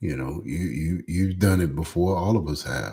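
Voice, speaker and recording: A somewhat breathy, dark, mellow voice with a Louisiana accent and lively intonation. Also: man. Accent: Southern US (Louisiana). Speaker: pastor. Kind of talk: live stream motivational talk. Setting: live stream. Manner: speaking low; hesitant, many fillers.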